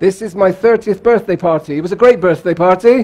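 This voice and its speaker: Noticeable background noise surrounds a man's voice. He has a high pitch and a British accent. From England, Bath. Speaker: keynote speaker on cross-cultural communication. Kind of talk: keynote talk. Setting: conference stage with audience. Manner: animated.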